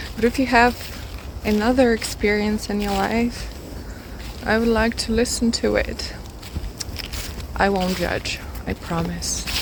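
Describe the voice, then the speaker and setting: Against noticeable background noise, a woman with a non-native accent speaks at a fairly slow pace with long, frequent pauses. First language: not English. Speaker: music vlogger. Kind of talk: casual vlog monologue. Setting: outdoors, walking in a forest. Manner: hesitant, with fillers and repeats.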